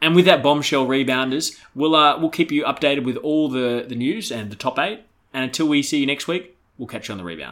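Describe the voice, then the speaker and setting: Speaking at a fairly quick pace, a man uses a plain, everyday voice, fairly high in pitch with ordinary pitch variation. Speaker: podcast host. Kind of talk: comedic sports podcast banter.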